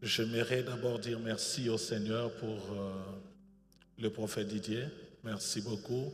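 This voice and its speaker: A man's very slow, flat monotone at medium pitch, with long, frequent pauses, audible room echo and noticeable background noise. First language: bilingual French and English (speaking French). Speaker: pastor. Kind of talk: sermon. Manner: hesitant, many fillers.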